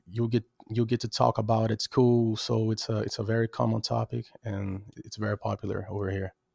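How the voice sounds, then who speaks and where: A man speaks at a moderate pace and fairly low pitch, his tone dark and mellow. The intonation is fairly even, and the sound is dry and close with no echo. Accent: Brazilian. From Brazil. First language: Portuguese. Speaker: rapper and music producer. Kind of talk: casual interview chat. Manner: halting, with many repetitions.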